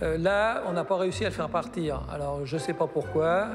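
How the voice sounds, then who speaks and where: A man talks at a very slow pace with lively intonation. Room echo is audible. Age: 60s. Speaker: seller of objects on TV show. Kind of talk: casual chat.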